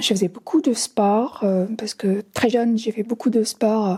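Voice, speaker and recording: Fairly high in pitch, a woman speaks at a fairly slow pace, somewhat breathy, with a dark, mellow tone and ordinary pitch variation. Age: 60s. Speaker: visually impaired film viewer. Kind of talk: testimony. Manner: halting.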